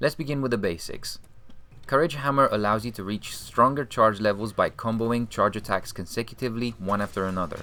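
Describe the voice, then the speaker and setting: With a non-native accent, a man talks at a fairly quick pace in a bright, sharp tone at a fairly low pitch. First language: not English. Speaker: video game tutorial creator. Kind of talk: game tutorial voice-over.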